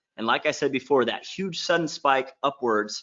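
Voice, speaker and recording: Ordinary pitch variation in a man's speech. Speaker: online marketing workshop presenter. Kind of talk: sales pitch. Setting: live webinar. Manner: fast; animated.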